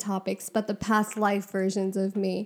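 Speaking at a moderate pace, a woman has a medium pitch. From Punjabi Sikh family, US. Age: 20s. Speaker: podcast co-host, therapy student. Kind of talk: casual chat.

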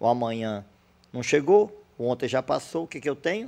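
A man speaks at a moderate pace with a dark, mellow tone. The background is quiet. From Brazil, Ceará (Fortaleza), teens in Mossoró. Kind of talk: casual interview.

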